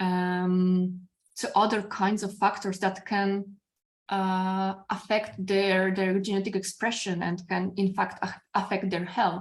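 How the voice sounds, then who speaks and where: A woman's somewhat breathy, medium-pitched voice with a Polish accent, monotone and flat in intonation, at a very slow pace. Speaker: philosophy professor. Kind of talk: academic discussion. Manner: halting.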